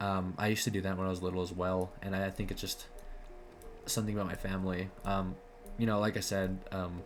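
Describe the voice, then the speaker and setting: A man's very deep, low voice at a very fast pace, monotone and flat, with music in the background. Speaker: video diarist. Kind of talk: personal vlog monologue. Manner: halting, many fillers and repetitions.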